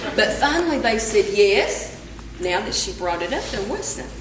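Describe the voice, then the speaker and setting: A woman's medium-pitched voice in an Appalachian accent, with lively intonation, a moderate pace and noticeable background noise. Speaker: storyteller. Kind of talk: live folk tale telling. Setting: live audience workshop.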